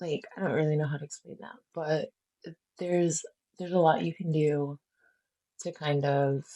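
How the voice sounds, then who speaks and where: A soft-spoken voice, broken up by long, frequent pauses. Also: moderate pace. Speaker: art tutorial creator. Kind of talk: tutorial. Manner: halting.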